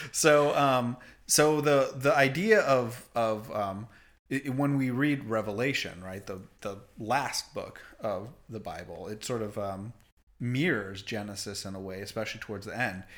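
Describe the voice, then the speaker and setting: A man's medium-pitched voice at a fairly slow pace, with ordinary pitch variation and big swings in loudness. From Canada. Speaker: priest, podcast co-host. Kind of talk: casual chat about theology. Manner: hesitant, many fillers.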